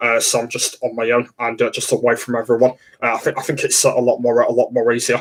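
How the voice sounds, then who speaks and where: There's an English accent in the man's speech. He talks at a very fast pace. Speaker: livestreamer. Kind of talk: casual livestream chat. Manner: halting, many fillers.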